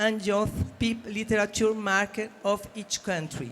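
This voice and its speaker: Her accent is non-native. This woman's voice sits fairly high. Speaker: panel moderator. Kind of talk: panel discussion introduction.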